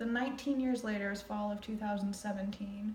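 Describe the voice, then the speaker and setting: A woman talks at a fairly quick pace in a fairly high, monotone voice. Noticeable background noise runs under her flat delivery. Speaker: amateur reader. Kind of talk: casual reading commentary. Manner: casual, hesitant, trips over words.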